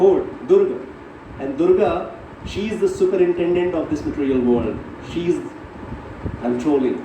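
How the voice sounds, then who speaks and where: Noticeable background noise and audible room echo fill the recording. The man speaks at a fairly slow pace. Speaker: spiritual teacher. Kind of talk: religious class lecture.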